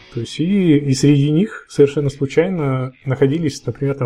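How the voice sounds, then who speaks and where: A man talks at a moderate pace with fairly even intonation, his tone dark and mellow and somewhat breathy. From Russia, Yekaterinburg. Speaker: indie game developer. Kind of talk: casual interview. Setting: Skype call.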